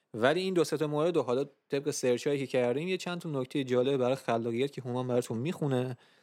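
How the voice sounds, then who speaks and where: A man at medium pitch races along at a very fast pace with hardly any pauses. His pitch varies in an ordinary way, in a very clean recording with a silent background. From Iran. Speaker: music podcast host. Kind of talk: casual chat.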